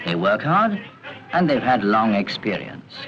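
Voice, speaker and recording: A man with a fairly low pitch talks at a moderate pace with lively intonation over noticeable background noise. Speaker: narrator. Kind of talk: documentary narration.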